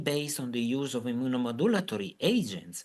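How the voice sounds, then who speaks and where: A man speaks at a medium pitch in an Italian accent. His intonation is lively, and the background is quiet. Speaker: physician. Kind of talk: lecture. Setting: video call. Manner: halting.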